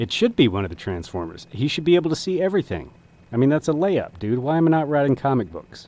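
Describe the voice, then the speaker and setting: Speaking at a very fast pace, a man with a dark, mellow tone and a fairly high pitch makes very wide pitch swings. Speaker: streamer. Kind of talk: casual chat. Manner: animated.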